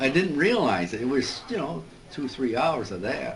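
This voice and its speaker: Lively intonation in a Midwestern American accent at a moderate pace, with noticeable background noise. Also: man. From Joliet, Illinois, USA. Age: 80s+. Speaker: World War II veteran, P-38 crew chief. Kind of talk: interview answer.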